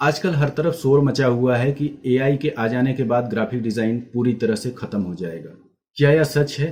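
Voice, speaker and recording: A man's somewhat breathy voice sits at a medium pitch, moving at a moderate pace with ordinary pitch variation. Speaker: graphic designer. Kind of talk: educational class talk to camera.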